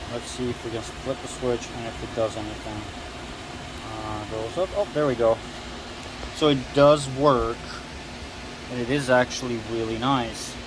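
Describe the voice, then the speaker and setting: Long, frequent pauses break up the speech. The sound is dry with no echo, and background noise is noticeable. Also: moderate pace. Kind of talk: casual tutorial. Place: garage. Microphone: phone near.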